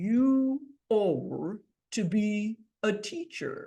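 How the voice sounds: A female-sounding, put-on character voice with a fairly high pitch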